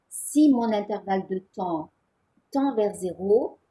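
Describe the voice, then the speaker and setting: Her pitch sits at a medium level for a woman, and the tone is dark and mellow. She sounds somewhat breathy. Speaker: physics teacher. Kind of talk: lecture.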